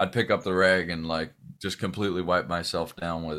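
Speaking at a moderate pace with an American accent, a man has a very deep, low pitch and a bright, sharp tone on a very clean recording with a silent background. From Southern California. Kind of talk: interview. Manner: halting, with many fillers.

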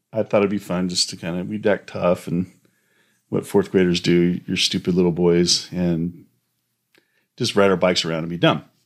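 A man talks at a moderate pace on a very clean recording with a silent background. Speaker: host's husband. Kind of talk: casual faith-based parenting chat. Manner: loud.

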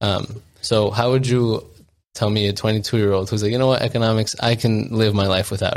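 An ordinary speaking voice with fairly even intonation comes through in a very clean recording with a silent background. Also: man, fairly low pitch for a man, fairly quick pace. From US, child of Colombian and Ecuadorian immigrants. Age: 20s. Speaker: podcast co-host. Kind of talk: casual chat.

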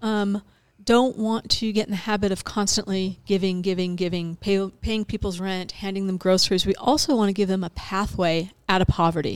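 A woman's medium-pitched delivery, in an ordinary speaking voice, holds a moderate pace and fairly even intonation. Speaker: food bank nonprofit representative. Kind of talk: casual interview chat.

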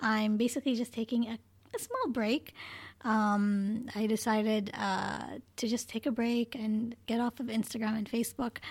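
Somewhat breathy and fairly high, a woman's voice moves at a moderate pace with monotone, flat intonation. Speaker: podcast co-host. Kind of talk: casual chat.

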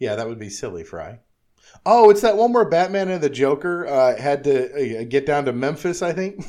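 Against a quiet background, a man with a fairly high pitch and a dark, mellow tone talks at a moderate pace. His voice makes very wide pitch swings and big swings in loudness. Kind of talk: casual chat.

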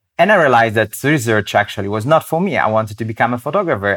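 Someone speaks with an Italian accent in a very clean recording with a silent background. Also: man. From Italy, Rome. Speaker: wildlife photographer. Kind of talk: interview conversation. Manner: halting.

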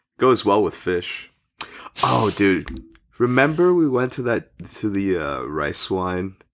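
A man with a New Jersey accent speaks at a very slow pace in a very deep, low voice, his pitch swinging very widely. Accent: American, New Jersey. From US, New Jersey. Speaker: podcast guest. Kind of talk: casual chat. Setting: remote call, guest in the US.

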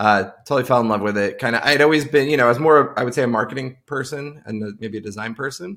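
An ordinary speaking voice from a man with an American accent, medium pitch, ordinary pitch variation and a fairly quick pace, on a very clean recording with a silent background. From Long Island, New York. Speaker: tech product leader. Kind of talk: casual interview.

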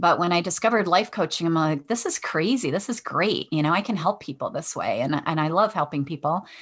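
Against a quiet background, a woman with a Michigan accent speaks at a fairly quick pace with lively intonation, fairly low pitch and hardly any pauses. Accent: Michigan (Inland North) American. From Michigan, west side of Detroit. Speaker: veterinarian and life coach. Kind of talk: interview.

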